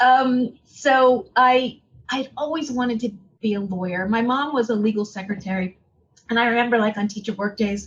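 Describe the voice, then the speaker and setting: The woman's pitch is fairly high and her pace moderate. She has a plain, everyday voice. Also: ordinary pitch variation. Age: 60s. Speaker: tourism executive. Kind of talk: interview.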